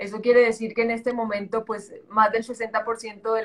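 A woman with a strong Colombian coastal accent speaks at a fairly high pitch in a flat, monotone way. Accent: strong Colombian coastal (costeño). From Colombia, Caribbean coast (Santa Marta). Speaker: entrepreneur and model. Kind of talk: interview conversation.

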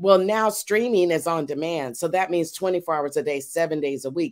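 A woman's unremarkable speaking voice, fairly low in pitch with ordinary variation, at a moderate pace on a very clean recording with a silent background. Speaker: media company owner and TV host. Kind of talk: casual interview chat. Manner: warm, inspiring, preacher-like.

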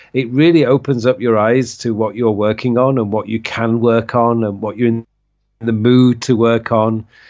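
Speaking with a Yorkshire accent, a man keeps a monotone, flat intonation at medium pitch and a moderate pace. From northern England (Leeds). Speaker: productivity coach. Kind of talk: interview.

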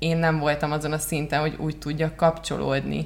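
In a very deep, low voice, a woman speaks at a moderate pace with monotone, flat intonation. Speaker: marketing consultant and podcast co-host. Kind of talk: casual chat. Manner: halting.

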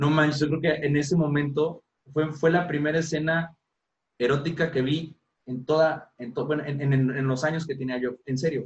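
Speaking at a moderate pace, a man with a fairly high pitch sounds somewhat breathy and keeps a monotone, flat intonation. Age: 30s. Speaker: podcast host. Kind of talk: casual chat. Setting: at home.

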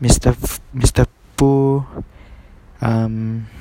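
The sound is dry and close, with no echo. A man at medium pitch speaks in a flat monotone. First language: not English. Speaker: university student training to be a teacher. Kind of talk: solo podcast monologue for class assignment. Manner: halting, many fillers and repetitions.

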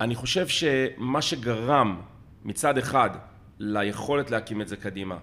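Bright and sharp in tone, a man speaks at a fairly slow pace with lively intonation. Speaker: crisis management business owner, ice swimmer. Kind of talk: casual interview conversation. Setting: at his home.

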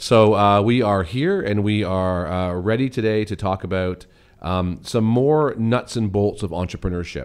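A man with a plain, everyday voice speaks at a moderate pace and fairly low pitch, with ordinary pitch variation and a quiet background. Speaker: podcast co-host; runs a summer camp. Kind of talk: casual conversational podcast chat.

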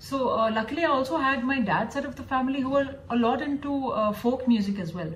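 Over noticeable background noise and audible room echo, a woman speaks at a high pitch. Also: ordinary pitch variation, hardly any pauses. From Dubai, then US from age 12. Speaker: classical flute player. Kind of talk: interview. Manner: hesitant, many fillers (uh, um).

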